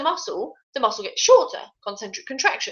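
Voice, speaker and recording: This woman speaks with a British accent. Her pace is moderate. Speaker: fitness tutor. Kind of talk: live online tutorial. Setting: live stream.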